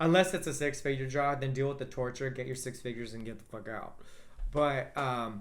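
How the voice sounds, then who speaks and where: Speaking at a fairly quick pace, a man uses an animated tone with a medium pitch and ordinary pitch variation. Room echo is audible. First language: Spanish. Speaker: astrologer. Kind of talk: casual chat.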